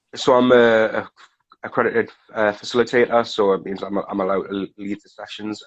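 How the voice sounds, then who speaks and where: At a moderate pace, a man speaks with fairly low pitch and fairly even intonation. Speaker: recovery facilitator, guest. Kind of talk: casual interview chat. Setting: Instagram live video stream.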